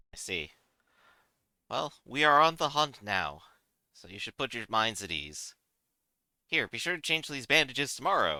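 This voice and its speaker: Using a put-on character voice at medium pitch, a man talks at a moderate pace with long, frequent pauses in a very clean recording with a silent background. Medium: actual play. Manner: formal, measured, commanding.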